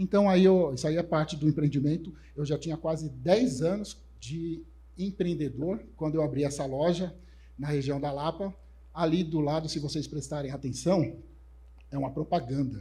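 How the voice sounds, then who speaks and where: A dark, mellow tone at a moderate pace. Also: man, fairly high pitch for a man, ordinary pitch variation. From Brazil, São Paulo north zone periphery. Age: 40s. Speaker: conference speaker, developer relations professional. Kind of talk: conference talk. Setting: stage with audience. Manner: casual, joking.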